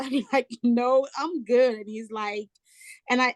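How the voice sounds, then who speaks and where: A woman speaks with an African accent at a moderate pace. The sound is dry and close, without echo. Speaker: travel nurse and home care agency owner. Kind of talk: casual chat.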